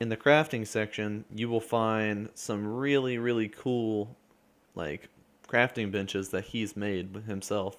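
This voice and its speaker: A man speaks in a fairly low pitch at a fairly slow pace. His intonation is fairly even. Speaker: gaming youtuber. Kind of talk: gameplay build tutorial.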